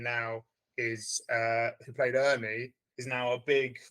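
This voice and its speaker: A man speaks at a very slow pace with a British accent. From Britain. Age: 40s. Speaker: film teacher and director. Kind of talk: interview. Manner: halting.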